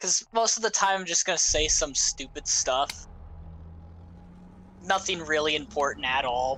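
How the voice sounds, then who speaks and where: At a moderate pace, a woman with a very deep, low pitch and vocal fry speaks with a bright, sharp tone, lively intonation, very even loudness, and long, frequent pauses. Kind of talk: casual chat.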